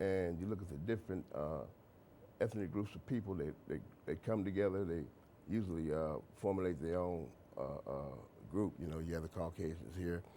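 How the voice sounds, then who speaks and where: A man's very deep, low pitch, dark and mellow in tone, with ordinary pitch variation, a fairly quick pace, and long, frequent pauses. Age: 60s. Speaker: author. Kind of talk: interview. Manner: halting.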